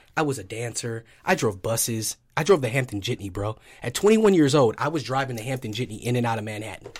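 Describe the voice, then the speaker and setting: At a very fast pace with hardly any pauses, a man talks in an animated tone at a medium pitch, somewhat breathy, with ordinary pitch variation. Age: 30s. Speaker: gym owner and fitness trainer. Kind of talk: casual chat.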